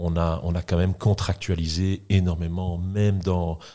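This man's pitch is very deep and low, with a dark, mellow tone and flat, monotone intonation. The recording is very clean, with a silent background. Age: 50s. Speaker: entrepreneur. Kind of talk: interview. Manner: halting.

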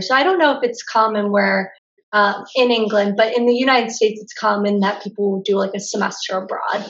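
A woman's fairly high voice with a Pennsylvania accent. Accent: American (Pennsylvania). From US, Pennsylvania (Lancaster County). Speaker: travel blogger. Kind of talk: casual interview.

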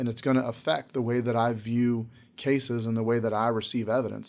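With monotone, flat intonation, a man in an American accent rushes at a very fast pace. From North Carolina, Charlotte. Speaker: district court judge. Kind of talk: interview.

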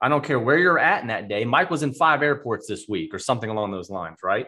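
A man talks very fast with very wide pitch swings, his tone bright, sharp and animated, on a very clean recording with a silent background. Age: 40s. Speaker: podcast host and entrepreneur. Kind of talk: casual interview chat.

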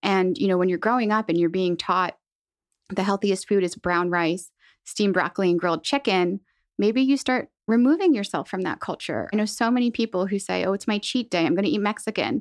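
In a plain, everyday voice with a General American accent, a woman talks at a fairly quick pace with ordinary pitch variation over a quiet background. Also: medium pitch for a woman, very even loudness, dry, close sound with no echo. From central Pennsylvania. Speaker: dietitian. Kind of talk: interview.

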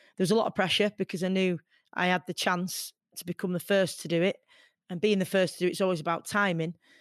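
Against a quiet background, a woman with a Manchester accent talks at a very fast pace in a monotone, flat intonation. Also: medium pitch for a woman, dry, close sound with no echo. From Hyde, Greater Manchester. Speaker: boxer, radio presenter and equality campaigner. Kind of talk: interview conversation.

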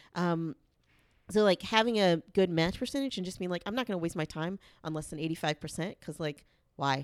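An unremarkable speaking voice, a woman with an American accent talks at a fairly low pitch and a fairly quick pace with ordinary pitch variation, in a very clean, dry, close recording with no echo and a silent background. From US South, Charlotte, North Carolina. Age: 30s. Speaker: podcast guest sharing dating story. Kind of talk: casual chat.

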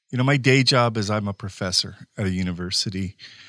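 This man's voice sits fairly low, with ordinary pitch variation, on a very clean recording over a silent background, and it is a plain, everyday voice. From rural California, Mexican-American. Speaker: professor. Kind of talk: panel discussion.

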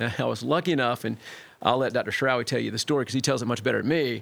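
The recording is very clean, with a silent background. A man with an American accent talks at medium pitch with vocal fry. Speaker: family physician. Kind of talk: casual chat.

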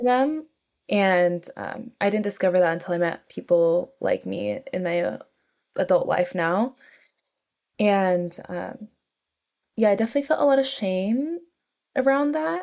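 Speaking fairly slowly with an American accent, a woman at medium pitch uses lively intonation and long, frequent pauses. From US, North San Francisco Bay Area, California. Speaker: podcast guest, intuitive. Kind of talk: casual interview conversation.

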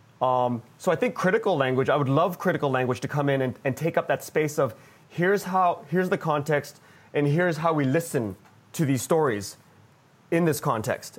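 A man with an unremarkable speaking voice talks at a fairly quick pace, his pitch fairly high and his intonation lively. His loudness stays very even on a very clean recording with a silent background. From Vancouver, Canada. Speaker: podcast executive producer.

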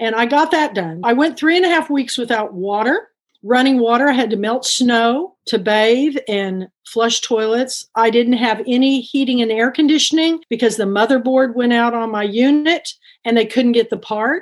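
With a Texan accent, a woman talks at a moderate pace in a high pitch with ordinary pitch variation. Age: 60s. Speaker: bookstore owner and book club founder. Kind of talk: interview. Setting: video call.

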